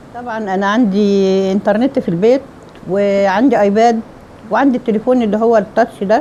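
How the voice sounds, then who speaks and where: At a moderate pace and with ordinary pitch variation, a woman talks over noticeable background noise. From Egypt. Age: 70s. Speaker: retiree. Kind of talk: interview testimony. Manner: halting, with false starts.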